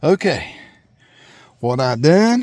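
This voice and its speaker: A man with a Southern US accent is heard in a dry, close sound with no echo. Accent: Southern US rural. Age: 60s. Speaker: farmer. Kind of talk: tutorial. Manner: casual, halting.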